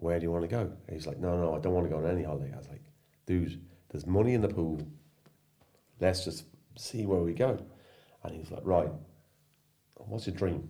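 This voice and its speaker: A man speaks with a very deep, low pitch and a dark, mellow tone at a fairly quick pace, with ordinary pitch variation. His long, frequent pauses carry audible room echo. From Ireland and England, mixed. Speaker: surf school owner, former social care worker. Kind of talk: casual chat over beers. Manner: animated.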